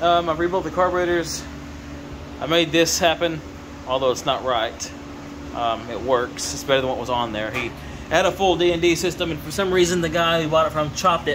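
Background noise is clearly present. A man speaks over it with normal rises and falls in pitch. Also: fairly quick pace. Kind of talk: casual vlog chat. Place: garage. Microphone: phone near.

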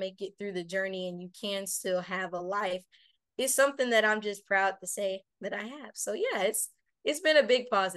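A woman speaks at medium pitch and a moderate pace. Her pitch variation is ordinary, and the background is quiet. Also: dry sound with no echo. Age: young. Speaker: youth caregiver, radio host, motivational speaker. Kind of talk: interview answer. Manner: well spoken, mature. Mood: positive, proud, earnest. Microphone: video call.

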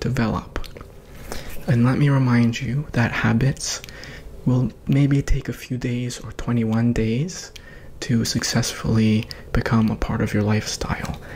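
A soft-spoken man talks at a fairly slow pace with fairly even intonation over light background noise. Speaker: ASMR creator. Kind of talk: ASMR personal attention, guided self-reflection. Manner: calm, encouraging. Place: home room. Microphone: studio mic.

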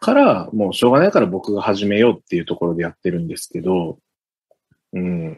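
Big swings in loudness and ordinary pitch variation mark an unremarkable speaking voice that moves at a fairly quick pace. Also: man, fairly low pitch for a man. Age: 30s. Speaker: blockchain engineer. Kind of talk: explanatory interview talk.

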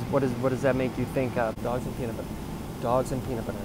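Loud background noise surrounds a man whose voice sounds dry, with no echo. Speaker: comedian playing two characters. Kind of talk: comedy sketch dialogue. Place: plane. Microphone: earbuds.

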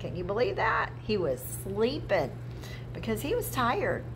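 Noticeable background noise under a woman's moderately paced speech. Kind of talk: children's Bible story and prayer. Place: classroom. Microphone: phone near.

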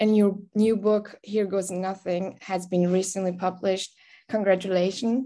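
With a Persian accent, a woman speaks at a moderate pace and medium pitch, her tone dark and mellow and her intonation monotone and flat, against a quiet background. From Iran. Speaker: interviewer. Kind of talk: interview. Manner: halting. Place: home room. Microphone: video call.

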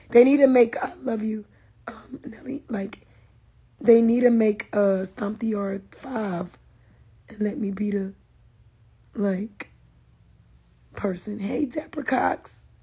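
Speech at a very slow pace with long, frequent pauses shows big swings in loudness and ordinary pitch variation over noticeable background noise. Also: woman, fairly high pitch for a woman. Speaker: social media influencer. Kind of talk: casual livestream chat. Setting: Instagram live stream. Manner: animated.

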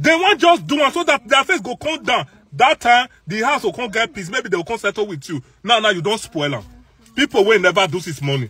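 In a raised, projected voice with a bright, sharp tone, a man talks at a very fast pace, and the sound is dry with no echo. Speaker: social media commentator. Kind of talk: casual vlog commentary. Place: car. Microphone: phone near.

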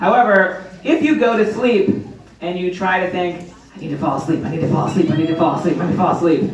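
A man's high-pitched voice at a very fast pace, energetic and playful in tone, with light background noise and audible room echo. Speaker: stage hypnotist. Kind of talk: stage performance talk. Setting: stage with college audience. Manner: soothing, measured cadence with long flowing run-on suggestions; energetic, playful crowd-pumping showman between inductions. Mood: calm, reassuring, slow in induction. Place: hall.

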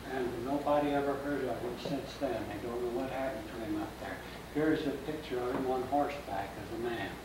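A man with an American accent at a fairly quick pace, with noticeable background noise and audible room echo. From Kansas. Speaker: local historian. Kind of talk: public history lecture. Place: hall. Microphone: camera far.

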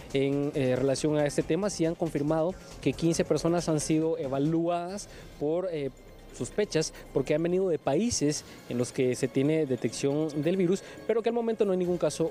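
Faint music plays in the background while a man speaks at a moderate pace. His voice has ordinary pitch variation and very even loudness, with a dry sound and no echo. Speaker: TV field reporter. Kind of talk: live news report. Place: street. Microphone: handheld.

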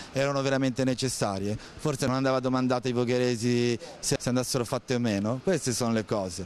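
Over light background noise, a man speaks very fast with fairly even intonation and very even loudness in a dry sound with no echo. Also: medium pitch for a man. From Voghera, Lombardy, northern Italy; Lombardy, Italy. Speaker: passer-by in street interview. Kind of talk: street interview. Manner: halting, repeated words. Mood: critical, opinionated. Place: street. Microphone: handheld.

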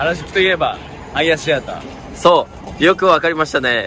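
Light background noise sits under a dry, echo-free sound. A man speaks at a moderate pace. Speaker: vlog host. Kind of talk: casual vlog chat. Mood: playful, laughing. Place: street. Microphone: phone near.

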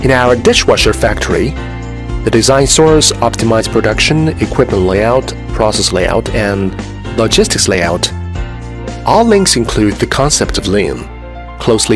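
Clear music is in the background. A man talks over it, keeping a moderate pace. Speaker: factory manufacturing design supervisor. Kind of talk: interview answer. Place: factory.

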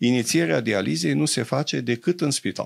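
A man talks with vocal fry at a moderate pace against a quiet background. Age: 70s. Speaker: doctor; interview guest. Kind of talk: interview; interview answer. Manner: hesitant, many fillers. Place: studio. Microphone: studio mic.

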